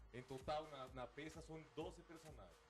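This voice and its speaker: A man speaks with a Mexican accent. His voice has vocal fry. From Mexico. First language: Spanish (speaking Portuguese). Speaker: stage actor. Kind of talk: TV interview.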